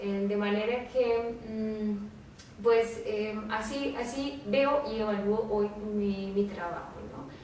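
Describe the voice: A woman of medium pitch talks slowly with few pauses, a slightly mellow tone and fairly even intonation, with audible room echo.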